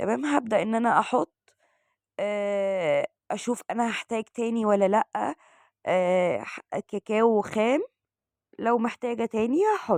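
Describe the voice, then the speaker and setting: A woman's fairly high voice, very slow pace and lively intonation against a quiet background. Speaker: cooking channel host. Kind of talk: cooking tutorial. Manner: halting with fillers.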